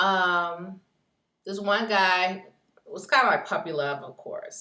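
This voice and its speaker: A woman with an American accent, bright and sharp in tone, at a fairly slow pace. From US South. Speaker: video blogger. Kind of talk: casual personal vlog monologue. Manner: hesitant, many ums.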